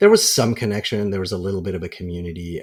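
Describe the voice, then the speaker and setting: On a very clean recording with a silent background, a man with an American accent speaks somewhat breathily, with fairly even intonation. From Kuwait, then UK boarding school and Jordan. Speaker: filmmaker. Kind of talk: podcast interview. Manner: hesitant, many fillers and restarts.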